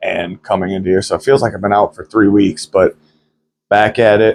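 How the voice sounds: Fairly low in pitch, a man speaks in a nasal voice with a slightly mellow tone.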